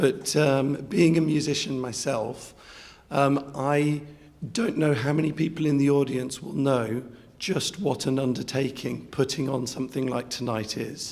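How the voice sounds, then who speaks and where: A man's fairly high voice at a fairly slow pace with ordinary pitch variation, amid audible room echo and noticeable background noise. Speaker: music teacher and competition adjudicator. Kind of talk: speech to audience. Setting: stage with audience. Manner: hesitant, many fillers.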